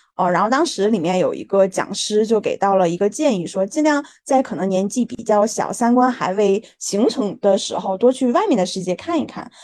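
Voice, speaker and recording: A woman's fairly high voice, an unremarkable speaking voice, with lively intonation at a moderate pace. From Harbin, northeast China. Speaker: startup founder. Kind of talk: interview.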